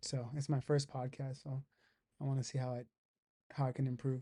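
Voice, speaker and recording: Monotone, flat intonation at a fairly quick pace, somewhat breathy, with a dark, mellow tone. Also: man. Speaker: podcast host. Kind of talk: casual chat.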